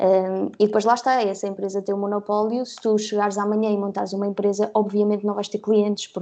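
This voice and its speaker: Her voice has a dark, mellow tone at medium pitch as this woman talks at a fairly quick pace. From Portugal, Guarda. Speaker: graphic designer and social media manager. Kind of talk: casual interview.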